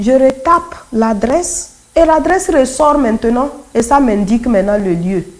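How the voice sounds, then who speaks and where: Over noticeable background noise, a woman with a Togolese accent speaks at a fairly slow pace. Her voice is high and swings very widely in pitch. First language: Kotokoli (speaking French). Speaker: convert giving testimony. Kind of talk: testimony.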